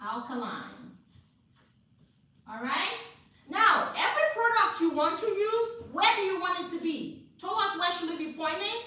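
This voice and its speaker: A woman uses a raised, projected voice at an extremely high pitch with very wide pitch swings and an animated tone. She talks at a fairly slow pace with long, frequent pauses, amid audible room echo and noticeable background noise. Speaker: hair care instructor. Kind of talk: live class lecture.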